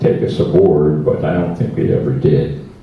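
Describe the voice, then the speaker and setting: In a room with audible echo and noticeable background noise, a speaker talks with an American accent. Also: man. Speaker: war veteran. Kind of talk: testimony. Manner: halting.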